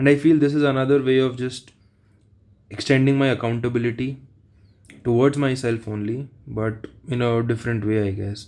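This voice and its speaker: A man speaks with an Indian accent at a medium pitch. His pace is moderate and his intonation fairly even. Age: 30s. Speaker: exam aspirant vlogger. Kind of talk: casual vlog monologue. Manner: halting, slight stutter.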